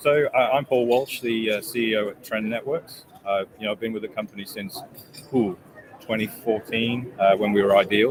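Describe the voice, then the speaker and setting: A man of medium pitch keeps a moderate pace with fairly even intonation. Noticeable background noise runs behind him. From England. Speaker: company executive. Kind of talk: product pitch in interview. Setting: trade show booth.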